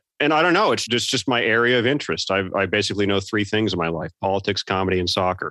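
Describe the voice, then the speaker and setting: Very fast and in an American accent, a man speaks with a very deep, low pitch and a bright, sharp tone. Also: very clean recording, silent background. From Virginia, US South (Tidewater). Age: 40s. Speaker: comedy writer. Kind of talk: interview conversation.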